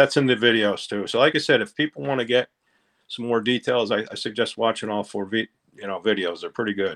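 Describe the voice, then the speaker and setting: Speaking at a very fast pace, a man with an American accent uses a medium pitch with ordinary variation. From Pennsylvania, US. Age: 60s. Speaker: conspiracy theory enthusiast, online group admin. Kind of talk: casual interview.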